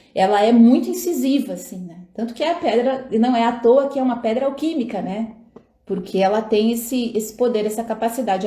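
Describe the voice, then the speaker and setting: A woman at a high pitch and fairly quick pace, with audible room echo. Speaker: tarot reader and astrologer. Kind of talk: live stream talk with viewers. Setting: live stream at home. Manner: casual, chatty.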